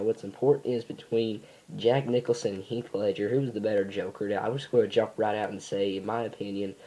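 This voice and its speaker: The voice has a dark, mellow tone. It moves at a fairly quick pace with hardly any pauses. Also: man. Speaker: YouTuber. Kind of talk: casual vlog commentary. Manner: halting, many fillers.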